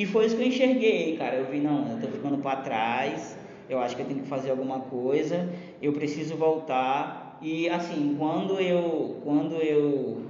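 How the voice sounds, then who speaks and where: A man at a moderate pace, fairly high in pitch with ordinary pitch variation, amid audible room echo and noticeable background noise. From Maranhão, Brazil. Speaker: comedian. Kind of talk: casual chat.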